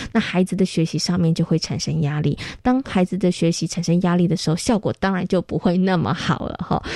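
A woman's fairly quick speech in a Taiwanese accent, with ordinary pitch variation, hardly any pauses, and a dry, close sound with no echo. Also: fairly low pitch for a woman. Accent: Taiwanese Mandarin. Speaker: radio host. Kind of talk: radio interview. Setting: studio.

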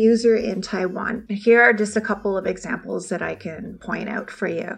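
With a Canadian accent, a woman speaks at a moderate pace and a fairly high pitch over noticeable background noise. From Ontario, Canada. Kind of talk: radio interview.

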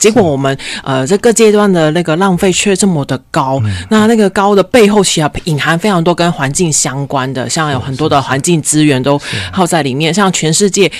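A woman speaks at a moderate pace with lively intonation. Her pitch is fairly low. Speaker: environmental foundation specialist. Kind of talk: radio interview. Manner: cheerful.

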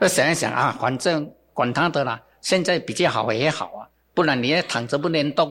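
A man talks with an unremarkable speaking voice, pitched fairly high with ordinary variation, at a moderate speed on a very clean recording where the background is silent. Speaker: bonsai gardener and business founder. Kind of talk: interview. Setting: studio. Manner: casual with many filler particles.

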